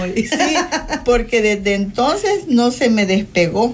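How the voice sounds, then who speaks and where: A woman with a high voice speaks at a fairly slow pace. Her intonation is lively. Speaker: guest sharing life testimony. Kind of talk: testimony.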